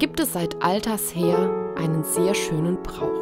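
Music runs behind the voice. A woman talks very slowly. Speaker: Protestant pastor. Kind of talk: church devotional talk.

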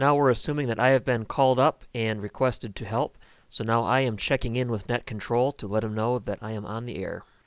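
A man talks at a fairly quick pace with hardly any pauses and fairly even intonation, and the sound is dry with no echo. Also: quiet background. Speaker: ham radio operator. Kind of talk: radio procedure talk and commentary. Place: home room.

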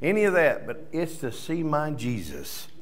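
Here a man talks at a fairly slow pace. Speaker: preacher or worship leader. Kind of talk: sermon. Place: church. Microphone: studio mic.

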